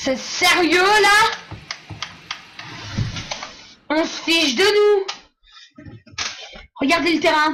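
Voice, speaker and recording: The voice is raised and projected, moving at a very slow pace with long, frequent pauses. Its pitch varies in an ordinary way. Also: woman, extremely high pitch for a woman. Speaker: gaming YouTuber. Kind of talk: gameplay commentary. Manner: animated.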